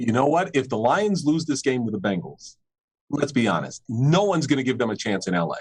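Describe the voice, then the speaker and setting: With a New York accent, a man speaks at a medium pitch and a fairly quick pace, his voice making very wide pitch swings. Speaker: football podcast co-host. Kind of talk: casual sports chat.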